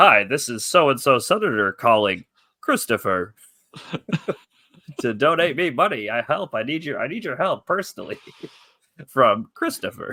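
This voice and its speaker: A put-on, robotic character voice swings very widely in pitch. It moves at a moderate pace with long, frequent pauses. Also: man, fairly high pitch for a man. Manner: robotic, pleading.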